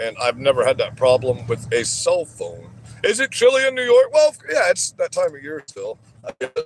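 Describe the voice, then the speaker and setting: A loud male voice at a moderate pace, with music in the background. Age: 40s. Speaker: livestreamer. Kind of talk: livestream chat. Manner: animated.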